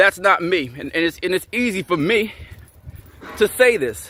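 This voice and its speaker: Shouting loudly, the voice has a bright, sharp tone and lively intonation. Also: man. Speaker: fitness and self-improvement vlogger. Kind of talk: angry vlog rant to camera. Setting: talking to camera. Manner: loud, yelling; repetitive, emphatic.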